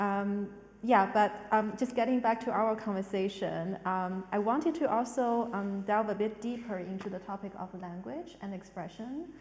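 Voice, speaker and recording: With a non-native accent, the speaker keeps a moderate pace with hardly any pauses and ordinary pitch variation, over noticeable background noise. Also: woman, medium pitch for a woman. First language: not English. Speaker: arts director hosting a panel talk. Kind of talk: panel discussion. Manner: halting, many fillers.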